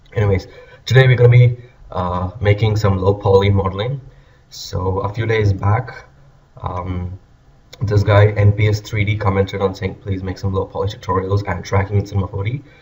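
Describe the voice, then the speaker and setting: Fairly low-pitched male voice, monotone and flat, at a moderate pace, with noticeable background noise. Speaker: 3D graphics tutorial maker. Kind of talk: tutorial. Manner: hesitant, many fillers.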